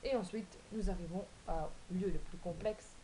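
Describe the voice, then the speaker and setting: A woman's voice over noticeable background noise. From Belgium, Wallonia. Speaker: vlogger. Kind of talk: casual vlog explaining cards. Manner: hesitant, many fillers.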